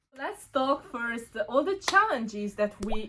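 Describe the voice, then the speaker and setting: With a Hungarian accent, a woman speaks fairly slowly in a fairly high voice over noticeable background noise. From Romania, Hungarian minority. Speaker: student vlogger. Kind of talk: casual chat.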